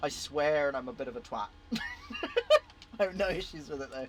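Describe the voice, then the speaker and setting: Music plays in the background as a man with a British accent speaks. His voice is fairly high in pitch, at a moderate pace. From Britain. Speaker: gaming streamer. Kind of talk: casual live stream chat.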